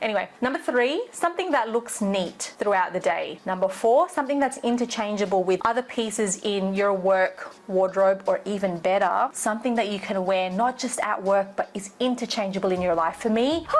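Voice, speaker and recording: Over noticeable background noise, a woman with a medium-pitched voice talks at a moderate pace with lively intonation and hardly any pauses. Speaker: fashion stylist and vlogger. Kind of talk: casual talk-to-camera tutorial. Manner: animated.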